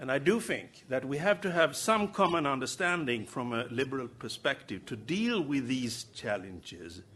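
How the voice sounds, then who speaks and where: Speaking at a fairly slow pace, a man with vocal fry keeps a medium pitch yet makes very wide pitch swings. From Sweden. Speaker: politician. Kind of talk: conference speech. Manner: halting.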